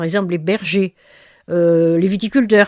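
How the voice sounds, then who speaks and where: A woman speaks at medium pitch with a dark, mellow tone. Her pace is fairly slow. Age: 80s+. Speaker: retired linguist and author. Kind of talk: interview testimony. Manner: halting, with many hesitations.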